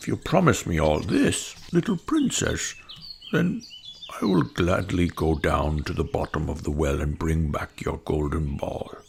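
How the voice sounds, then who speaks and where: A man uses a put-on character voice. It is very deep and low, delivered at a moderate pace. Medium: read story. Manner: earnest, gentle.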